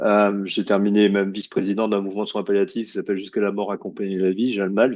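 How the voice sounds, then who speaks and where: A man talks at a fairly quick pace with a fairly low pitch. His intonation is monotone and flat. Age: 60s. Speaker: oncologist. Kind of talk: lecture. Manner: halting.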